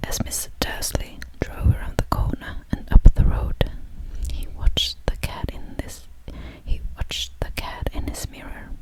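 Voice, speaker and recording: A woman whispering at a fairly slow pace, her loudness swinging widely, with noticeable background noise. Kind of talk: whispered audiobook-style reading of a novel. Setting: studio. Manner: slow, hushed, with occasional restarts.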